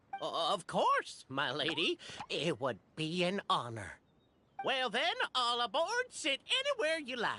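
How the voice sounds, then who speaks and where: A put-on character voice. It moves at a fairly slow pace. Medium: video game. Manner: polite, formal.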